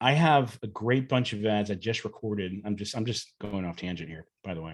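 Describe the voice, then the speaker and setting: Over a quiet background, a man talks at a fairly quick pace with fairly low pitch, ordinary pitch variation and big swings in loudness. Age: 40s. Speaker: YouTuber who collects old TV commercials. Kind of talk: casual chat. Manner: animated.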